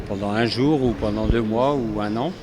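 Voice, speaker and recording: A man at a fairly slow pace with noticeable background noise. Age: 60s. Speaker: sculptor and artist. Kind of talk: interview. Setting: equestrian show venue. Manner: hesitant, many fillers.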